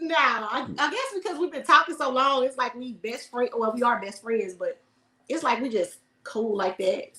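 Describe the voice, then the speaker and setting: With an American accent, a woman projects a raised, high-pitched voice at a moderate pace with lively intonation. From Houston, Texas. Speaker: air force veteran and video creator. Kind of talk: casual chat.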